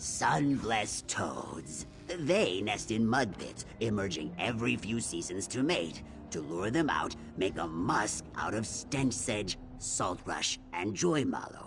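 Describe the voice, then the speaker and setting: Put-on character voice at a fairly slow pace over clear background music. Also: man, fairly low pitch for a man. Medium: video game. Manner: detailed, instructive.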